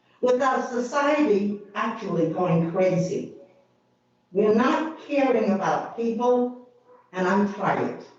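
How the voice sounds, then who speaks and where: Amid audible room echo, a woman with a fairly high pitch speaks very slowly, with lively intonation and very even loudness. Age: 80s+. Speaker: public commenter at county meeting. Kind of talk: public comment.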